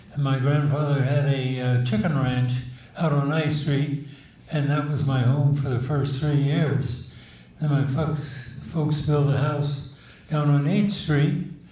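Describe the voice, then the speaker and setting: A man with an American accent, fairly high-pitched, at a fairly slow pace, flat and monotone, with very even loudness, audible room echo and noticeable background noise. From Northern California, Petaluma. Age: 90s. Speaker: war veteran. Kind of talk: interview. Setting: public event at city hall.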